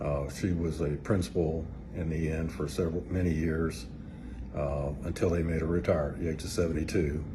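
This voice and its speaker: With vocal fry and a dark, mellow tone, a man talks at a moderate pace in a very deep, low pitch with ordinary pitch variation, and audible room echo surrounds him. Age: 60s. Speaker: church member giving testimony. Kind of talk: testimony. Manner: hesitant, with fillers.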